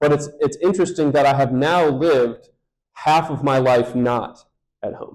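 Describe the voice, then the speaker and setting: With fairly even intonation, a man speaks at a moderate pace in a fairly high pitch. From Michigan, US Midwest. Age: 30s. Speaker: pastor. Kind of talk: sermon-style talk to congregation.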